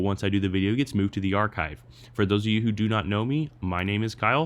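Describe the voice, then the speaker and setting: Talking very quickly, a man uses a fairly low voice. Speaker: online reviewer. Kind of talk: live stream tutorial. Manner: fast; casual.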